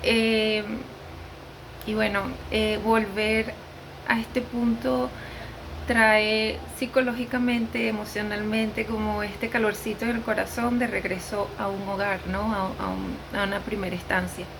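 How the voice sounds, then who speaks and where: In a Venezuelan accent, a woman with a fairly high pitch talks at a fairly slow pace with fairly even intonation, amid noticeable background noise and audible room echo. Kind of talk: testimony. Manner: unscripted, hesitant with fillers.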